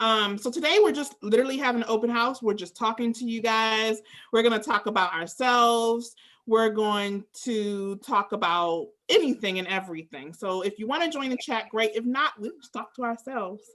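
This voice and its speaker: A woman with an American accent speaks at a moderate pace in a fairly high pitch, in an unremarkable speaking voice with ordinary pitch variation. Her loudness swings widely on a very clean recording with a silent background. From US, Maryland, Prince George's County. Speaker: language school host. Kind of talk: casual chat.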